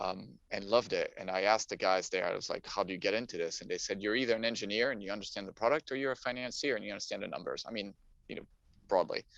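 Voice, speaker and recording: A man talks at a very fast pace in a French accent. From France, Paris. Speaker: climate technology investor. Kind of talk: interview, casual chat. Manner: halting, many fillers.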